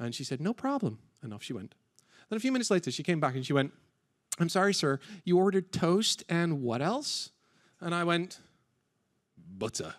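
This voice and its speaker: In a British accent, the speaker sounds animated, moving at a fairly quick pace with very wide pitch swings and long, frequent pauses. The recording is very clean, with a silent background. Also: man, high pitch for a man. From Britain. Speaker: conference MC. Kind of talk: live event hosting banter. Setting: stage with audience.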